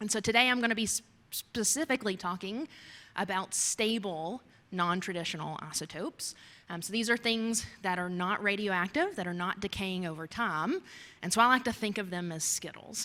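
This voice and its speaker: A woman in a Kentucky accent speaks at a moderate pace and medium pitch with a bright, sharp tone and ordinary pitch variation, on a very clean recording with a silent background. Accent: Kentucky accent, noticeable. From US, Kentucky. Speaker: geoscience researcher. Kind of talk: lecture. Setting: talk to a society audience.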